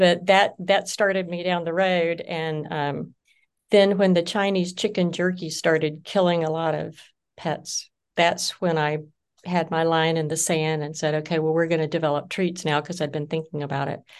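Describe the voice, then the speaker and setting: A woman speaks in a Southern US accent at a fairly low pitch. Her intonation is monotone and flat over a quiet background. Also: moderate pace. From US South (Georgia). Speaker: business founder. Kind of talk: interview.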